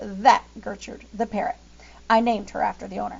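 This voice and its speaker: A woman puts on a raspy character voice, fairly high-pitched and fairly quick, over light background noise. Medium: read story. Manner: hesitant, mumbling.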